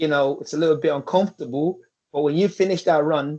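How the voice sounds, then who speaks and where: A man with a dark, mellow tone and a fairly high pitch talks at a very fast pace with ordinary pitch variation. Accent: Irish. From Nigeria, raised in Ireland from about age eleven. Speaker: football coach, former professional footballer. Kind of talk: interview. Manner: halting, many fillers.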